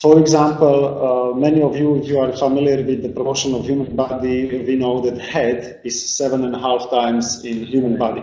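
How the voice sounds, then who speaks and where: A man speaks at a medium pitch in a flat monotone, with hardly any pauses. Room echo is audible and background noise is noticeable. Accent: Slovak. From Slovakia. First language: Slovak. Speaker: artist and sculptor. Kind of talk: lecture. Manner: halting.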